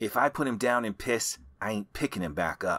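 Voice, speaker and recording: In a gruff, put-on character voice at a medium pitch, a man talks fairly quickly with lively intonation. The recording is very clean with a silent background and a dry, close sound with no echo. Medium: read story. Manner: terse, gruff.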